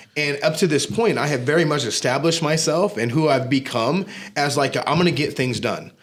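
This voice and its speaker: A man with an American accent and a fairly high pitch talks at a fairly quick pace over noticeable background noise. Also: ordinary pitch variation. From Southern California. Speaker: gym manager and fitness business owner. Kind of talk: casual podcast interview. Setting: studio.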